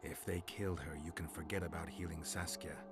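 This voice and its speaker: Over loud background noise, a man does a put-on character voice at a fairly quick pace with a very deep, low pitch. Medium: video game. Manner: terse, dry.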